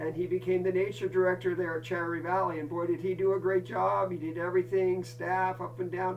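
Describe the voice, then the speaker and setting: Speech runs with hardly any pauses and ordinary pitch variation. There is noticeable background noise. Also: man, high pitch for a man. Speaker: scout camp director. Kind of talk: campfire storytelling. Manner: casual, warm.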